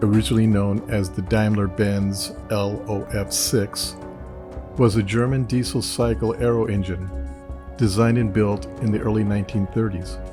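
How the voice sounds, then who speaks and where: Soft-spoken over music in the background, a man talks at a moderate pace with a fairly low pitch and ordinary pitch variation. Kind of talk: soft-spoken ASMR documentary narration.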